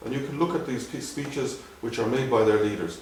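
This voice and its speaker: A man with an Irish accent, over noticeable background noise. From Dublin, Ireland. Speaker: ophthalmologist. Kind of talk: interview answer.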